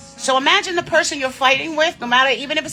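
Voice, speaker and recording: A woman speaks at a very fast pace with lively intonation and an animated tone over noticeable background noise. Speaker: livestreamer. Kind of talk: casual chat.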